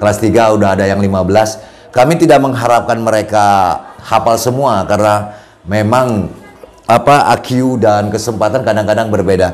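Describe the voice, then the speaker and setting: Over noticeable background noise and audible room echo, a man talks at a moderate pace in a fairly low voice with fairly even intonation. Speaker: madrasah head. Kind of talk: podcast interview conversation.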